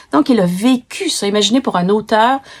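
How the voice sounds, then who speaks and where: This woman talks fairly slowly in a dark, mellow tone that is somewhat breathy. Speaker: book reviewer. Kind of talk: book review talk. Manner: hesitant, with fillers and restarts.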